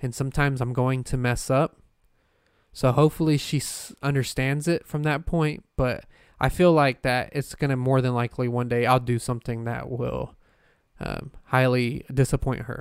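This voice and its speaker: This is a normal speaking voice, a man at a medium pitch and moderate pace. His intonation is fairly even, in a very clean recording with a silent background. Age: 20s. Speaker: podcast host and paranormal investigator. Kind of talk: casual solo podcast monologue. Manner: rambling with many fillers.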